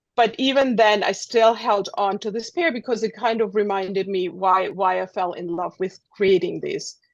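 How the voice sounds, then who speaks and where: Speaking with a German accent, a woman keeps a moderate pace and a medium pitch, with ordinary pitch variation and hardly any pauses. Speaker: street photographer. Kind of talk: presentation. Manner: halting.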